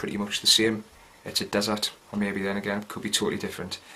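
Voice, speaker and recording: In a Geordie accent, a man speaks very fast with flat, monotone intonation over noticeable background noise. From North East England, Gateshead. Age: 20s. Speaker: soldier. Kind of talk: video diary. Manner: casual, hesitant with fillers.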